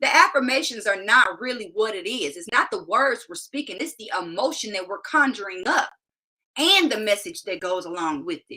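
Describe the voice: A woman's medium-pitched voice with a bright, sharp tone, a slightly husky edge, lively intonation and a moderate pace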